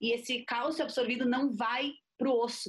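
A woman with a somewhat breathy voice talks at a moderate pace, her pitch variation ordinary. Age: 20s. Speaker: physician. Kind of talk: interview conversation.

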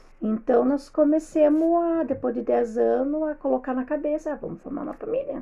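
Amid noticeable background noise, a woman speaks at a moderate pace with hardly any pauses, her high pitch showing ordinary variation. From southern Brazil, Rio Grande do Sul. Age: 40s. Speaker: host's mother-in-law, homemaker. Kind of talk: casual interview.

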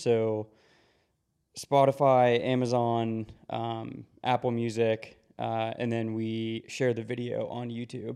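This man's tone is dark and mellow. His medium pitch moves with fairly even intonation. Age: 30s. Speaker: podcast co-host, creative director. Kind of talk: casual chat. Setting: studio.

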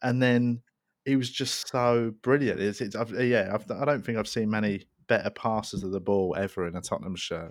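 In a very clean recording with a silent background, a man with a London accent talks at a moderate pace with ordinary pitch variation. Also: medium pitch for a man. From South London. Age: 30s. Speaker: comedian. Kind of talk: casual chat.

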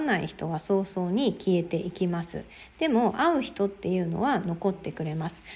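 Somewhat breathy, the woman's voice has a dark, mellow tone. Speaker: podcaster. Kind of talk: solo talk.

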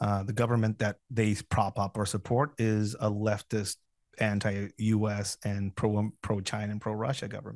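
In a Spanish accent, a man talks at a moderate pace, his fairly low voice monotone and flat. The sound is dry and close with no echo, over a quiet background. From Mexico, Tijuana. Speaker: former counter-narcotics officer and security instructor. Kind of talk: interview. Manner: hesitant with many fillers.

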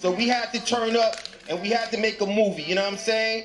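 Over noticeable background noise, a man talks in an animated tone at an extremely high pitch. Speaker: event host and announcer. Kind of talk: ring announcer, hyping crowd. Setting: live event with audience. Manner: loud, animated, excitable, hype.

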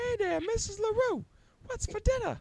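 Squeaky and extremely high, this put-on character voice goes at a moderate pace. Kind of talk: old-fashioned slang. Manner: chipper, eager.

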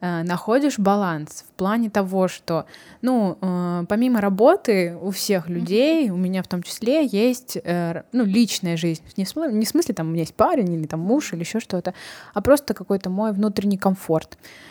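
A woman with a dark, mellow tone and lively intonation speaks at a moderate pace on a very clean recording with a silent background. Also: medium pitch for a woman. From Kazakhstan. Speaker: podcast host. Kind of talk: casual interview chat.

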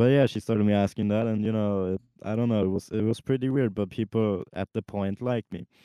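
A man speaks very fast with a fairly low pitch. His intonation stays fairly even. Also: hardly any pauses. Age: 20s. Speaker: podcast co-host. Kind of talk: casual chat. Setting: in a car.

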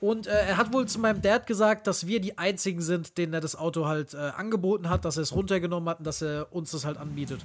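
Barely pausing, a man speaks very fast in a high pitch with ordinary pitch variation. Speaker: podcast co-host. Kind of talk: casual chat.

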